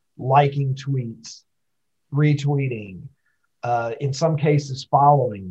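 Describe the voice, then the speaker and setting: This man's voice is somewhat breathy, with a fairly high pitch. He speaks at a fairly slow pace with ordinary pitch variation. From Kentucky. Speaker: social media personality. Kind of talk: casual interview.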